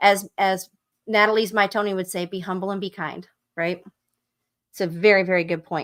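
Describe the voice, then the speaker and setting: At a moderate pace and medium pitch, a woman with a Southern US accent speaks in a monotone, flat intonation, with long, frequent pauses. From US South. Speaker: book club livestream host. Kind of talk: live stream book discussion, reading aloud excerpts. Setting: live stream. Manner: casual, conversational.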